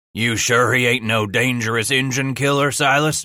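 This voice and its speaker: Using a put-on character voice, a man sounds raspy at medium pitch, with fairly even intonation and a moderate pace. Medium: read story. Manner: blunt, terse.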